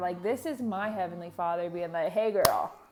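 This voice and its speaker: A woman speaks in an animated tone. Noticeable background noise can be heard. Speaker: devotional vlogger. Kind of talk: casual testimony.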